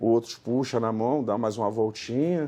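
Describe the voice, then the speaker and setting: The background is quiet as a man speaks at a moderate pace. His tone is dark and mellow. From Rio de Janeiro, Brazil. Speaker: horse groom. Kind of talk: interview answer. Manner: casual.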